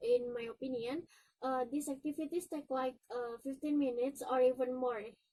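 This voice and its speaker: A woman with an Indonesian accent speaks in a high pitch and a dark, mellow tone, her intonation monotone and flat. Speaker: university student. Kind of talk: presentation. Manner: halting.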